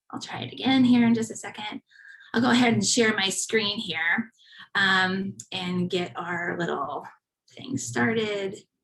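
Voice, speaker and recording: A woman with an American accent and an unremarkable speaking voice talks at a fairly slow pace and medium pitch. Her intonation is lively, and her loudness swings widely. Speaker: church volunteer ministry leader. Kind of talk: presentation.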